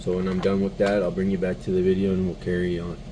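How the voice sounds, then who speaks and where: With audible room echo, a man speaks at a very deep, low pitch in a monotone, flat intonation. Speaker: RC hobbyist vlogger. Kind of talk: casual build tutorial. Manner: halting, stuttering.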